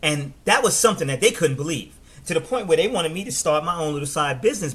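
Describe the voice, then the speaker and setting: Over noticeable background noise, a man talks with a fairly high pitch, lively intonation and an energetic, animated tone. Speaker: network marketing coach. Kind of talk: live stream business training. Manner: fast.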